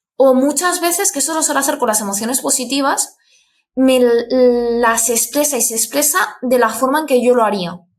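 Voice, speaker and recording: A woman talks at a moderate pace. Her pitch is high, with ordinary variation. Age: 20s. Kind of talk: interview conversation.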